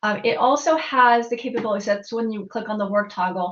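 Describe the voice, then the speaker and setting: With an American accent, a woman talks at a fairly high pitch. She keeps a moderate pace over noticeable background noise. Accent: Texas accent, comes out on some words. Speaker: tech trainer. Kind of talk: tutorial. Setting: live stream. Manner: animated.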